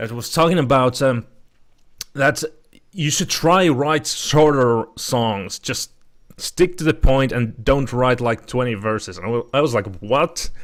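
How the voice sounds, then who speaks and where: A man with a Finnish accent speaks at a fairly slow pace. His pitch is medium, with ordinary variation. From Finland. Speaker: podcast host. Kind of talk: casual chat. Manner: halting.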